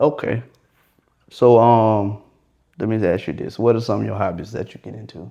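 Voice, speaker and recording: A man with an American accent speaks at a moderate pace and fairly low pitch, his dark, mellow tone carrying vocal fry, big swings in loudness and long, frequent pauses. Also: ordinary pitch variation. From Florida. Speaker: podcast host. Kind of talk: casual interview.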